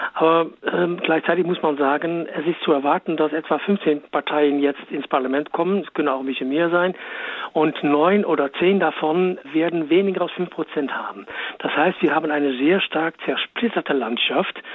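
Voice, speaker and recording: Moderate pace, with noticeable background noise. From Netherlands. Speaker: political expert. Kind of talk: interview.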